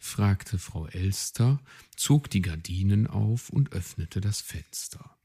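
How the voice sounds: A natural reading voice carries this recording.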